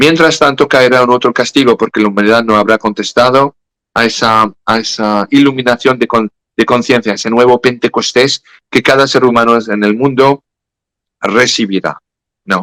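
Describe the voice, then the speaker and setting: With a French accent, a man speaks in a medium pitch with a bright, sharp tone and fairly even intonation. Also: moderate pace, dry, close sound with no echo. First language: French (speaking Spanish). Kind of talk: interview about religious prophecy. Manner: halting, self-correcting.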